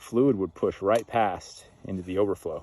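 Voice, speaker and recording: A man's dark, mellow tone. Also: very clean recording, silent background. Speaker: dirt bike owner reviewing his motorcycle. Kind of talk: casual video review. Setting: outdoors on a riding break. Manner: halting, stuttering at times.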